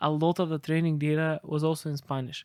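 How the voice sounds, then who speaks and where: A man with a Bulgarian accent speaks at a moderate pace in a dry, close sound with no echo. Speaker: AI expert. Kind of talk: interview.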